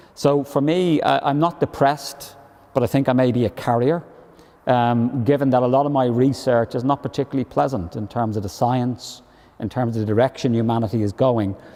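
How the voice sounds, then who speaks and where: A man talks with a Dublin accent at a fairly quick pace. His tone is dark and mellow. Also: medium pitch for a man, ordinary pitch variation. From Ireland, Dublin. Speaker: professor. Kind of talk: panel discussion.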